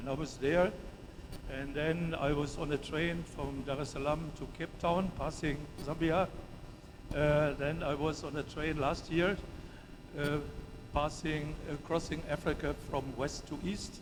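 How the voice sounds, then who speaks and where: A man's fairly high voice in a flat monotone, at a fairly slow pace with long, frequent pauses and audible room echo. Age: 70s. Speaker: professor. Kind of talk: conference presentation. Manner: halting, many fillers.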